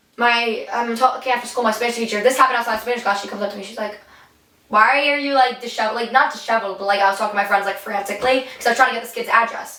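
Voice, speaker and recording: A woman's very fast, animated speech at a fairly high pitch, with big swings in loudness and audible room echo. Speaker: podcast co-host and streamer. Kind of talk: casual chat. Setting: sitting in a bathtub. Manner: animated storytelling.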